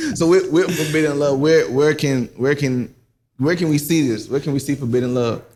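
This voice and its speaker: Speaking at a moderate pace with a South Carolina accent, a man uses a fairly high pitch and fairly even intonation. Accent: US Southern (South Carolina). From South Carolina (Silver Bluff area). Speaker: interview show host. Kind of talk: casual interview.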